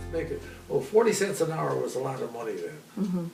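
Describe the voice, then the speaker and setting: Here a man talks at a moderate pace. Background noise is noticeable. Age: 80s+. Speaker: centenarian storyteller. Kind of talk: life story interview.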